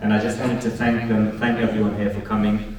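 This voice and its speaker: In a London accent, a man with a fairly low pitch talks at a fairly quick pace, with audible room echo and noticeable background noise. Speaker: podcast host and community organiser. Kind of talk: closing remarks to live audience. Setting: live event with audience. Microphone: poor audio, no proper mic.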